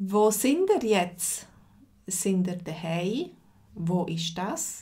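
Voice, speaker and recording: Her pace is very slow. The woman's voice is somewhat breathy with a dark, mellow tone. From Switzerland. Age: 40s. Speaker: language teacher. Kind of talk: live lesson. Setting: livestream.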